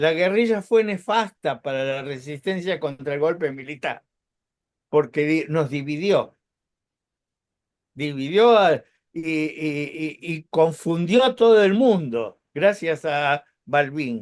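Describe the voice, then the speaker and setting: Over a quiet background, a man talks at a very slow pace with lively intonation. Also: fairly high pitch for a man. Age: 70s. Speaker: former labor activist. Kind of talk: radio panel discussion. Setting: online radio. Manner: halting.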